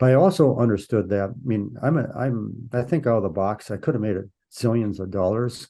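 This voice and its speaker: Against a quiet background, a man with an American accent has a dark, mellow tone and ordinary pitch variation. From US Midwest, Minnesota. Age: 70s. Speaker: polar explorer. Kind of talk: interview. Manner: halting, many repeats.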